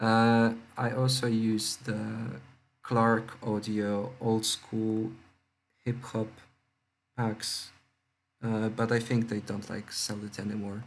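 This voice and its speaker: Speaking very slowly with long, frequent pauses, a man at a medium pitch keeps a monotone, flat intonation. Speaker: music producer tutorial youtuber. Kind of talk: tutorial. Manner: hesitant, many fillers; speaking louder and more clearly. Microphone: laptop mic, cutting out, laptop noise.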